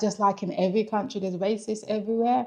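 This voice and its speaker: The speaker is a woman. She talks with a London accent. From England, London. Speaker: vlogger. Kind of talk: casual vlog talk.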